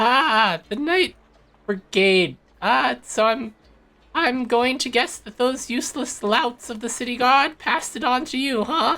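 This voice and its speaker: A man puts on a character voice pitched extremely high. He speaks at a fairly slow pace. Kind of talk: comic character voice. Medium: actual play. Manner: hesitant, stammering, fussy.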